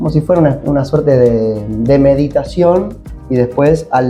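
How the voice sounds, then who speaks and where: A man is speaking with music in the background. He keeps a moderate pace. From Argentina. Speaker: voice actor. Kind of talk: interview answer.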